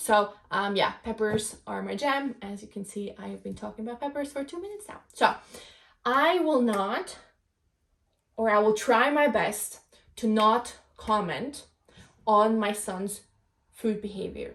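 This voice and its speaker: The speaker has a non-native accent and ordinary pitch variation, with big swings in loudness. The pace is fairly slow, broken by long, frequent pauses. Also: woman, fairly high pitch for a woman. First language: not English. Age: 20s. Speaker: podcast host. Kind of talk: casual monologue podcast. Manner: halting, many fillers.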